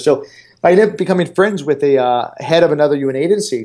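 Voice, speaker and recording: Ordinary pitch variation runs through this man's speech. He talks at a very fast pace in a General American accent. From Arizona. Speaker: international development consultant. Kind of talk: interview. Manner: halting, many fillers.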